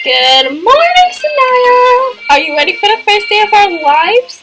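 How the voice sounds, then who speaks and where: Over faint music in the background, a woman does a squeaky put-on character voice at an extremely high pitch with very wide pitch swings. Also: moderate pace. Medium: game stream. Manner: timid, hesitant.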